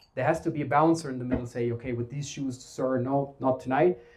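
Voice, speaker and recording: A man speaks with a German accent in a dark, mellow tone. His voice is somewhat breathy. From Germany. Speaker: talent strategy adviser. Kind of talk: conference presentation. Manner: casual, filler-heavy.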